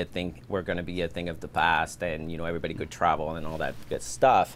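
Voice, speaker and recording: The speaker has a French accent. The pace is fairly quick. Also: man. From France, Paris suburbs. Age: 30s. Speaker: filmmaker and production company owner. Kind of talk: podcast interview.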